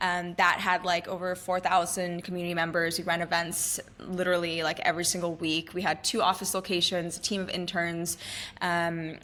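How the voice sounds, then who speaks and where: A woman speaks at a fairly quick pace with an American accent and a fairly low pitch. Her tone is bright and sharp, with vocal fry. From Shanghai, China (born in Canada). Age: 20s. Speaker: entrepreneur. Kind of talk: interview. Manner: animated.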